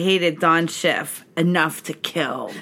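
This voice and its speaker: A woman speaks at a fairly low pitch and a moderate pace. Noticeable background noise runs underneath. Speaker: podcast host. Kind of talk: casual chat. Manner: laughs often.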